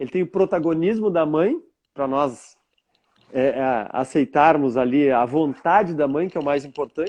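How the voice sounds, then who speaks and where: A man talks at a fairly slow pace in a fairly high pitch, with ordinary pitch variation, in an unremarkable speaking voice. The background is quiet. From southern Brazil, Rio Grande do Sul (Bagé). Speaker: therapist. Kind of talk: interview. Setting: live stream.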